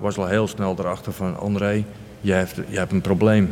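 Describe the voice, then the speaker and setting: Fairly low pitch and fairly even intonation from a man. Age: 50s. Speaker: recovering addict sharing faith story. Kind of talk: interview testimony. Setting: village church. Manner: halting.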